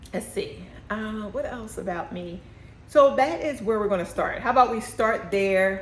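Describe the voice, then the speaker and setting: A woman with an American accent, ordinary pitch variation, noticeable background noise and audible room echo. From Philadelphia. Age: 50s. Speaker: candle business owner. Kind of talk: casual vlog talk. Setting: shop by busy street. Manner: fast; chews gum, lip smacking.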